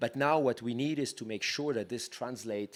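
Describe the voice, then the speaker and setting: Someone with a French accent talks at a fairly quick pace with ordinary pitch variation. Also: man. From France. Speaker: tech policy leader, panelist. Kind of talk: panel discussion. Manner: halting, with frequent repetitions.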